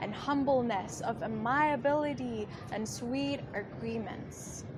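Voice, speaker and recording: Noticeable background noise accompanies a woman who speaks at a very slow pace. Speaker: poet. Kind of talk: slam poetry performance.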